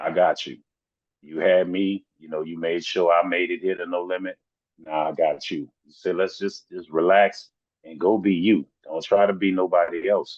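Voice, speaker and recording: Here a man talks at a moderate pace with a Southern accent. His loudness swings a lot. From US South. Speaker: rapper. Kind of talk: interview.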